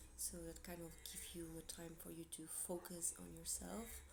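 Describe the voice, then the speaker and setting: A woman talks at a moderate pace. The room echo is audible, and there is noticeable background noise. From Portugal. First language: Portuguese. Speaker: tarot reader. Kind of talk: tarot reading monologue to camera. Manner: casual, hesitant with fillers.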